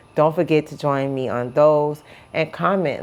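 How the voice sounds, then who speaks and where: A woman at a moderate pace. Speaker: vlogger documenting weight loss. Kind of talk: casual vlog to camera. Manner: halting, repeats words. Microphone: phone.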